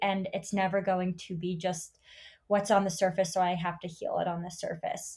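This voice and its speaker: A woman speaks in a somewhat breathy voice. The recording is very clean, with a silent background. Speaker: podcast host and yoga teacher. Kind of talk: casual interview chat.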